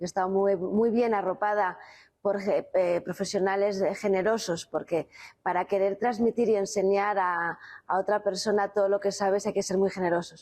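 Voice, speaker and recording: A woman's medium-pitched, monotone voice at a moderate pace, with flat intonation against a quiet background. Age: 50s. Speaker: winemaker. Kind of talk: interview. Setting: on location at a winery.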